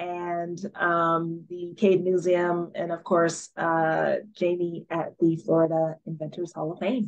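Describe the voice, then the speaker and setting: Her pitch fairly low, a woman speaks with an American accent. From Minnesota, Saint Paul. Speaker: tech education founder. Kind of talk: panel interview.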